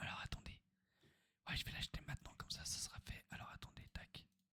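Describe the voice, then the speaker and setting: Someone whispers at a moderate pace. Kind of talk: ASMR gameplay commentary. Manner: whispered.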